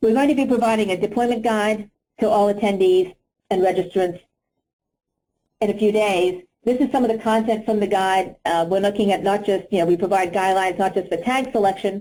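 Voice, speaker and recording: A woman speaks at a fairly quick pace and a medium pitch, her tone dark and mellow. Her intonation is fairly even and her loudness very even. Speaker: industry conference speaker. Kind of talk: conference presentation; Q&A answer. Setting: conference session. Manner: fast.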